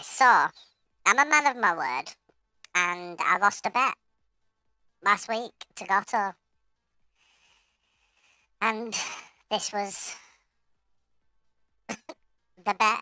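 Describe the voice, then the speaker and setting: A man in a squeaky, high-pitched put-on character voice, very slow with long, frequent pauses, and music in the background. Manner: jokey, sounding silly as a bet.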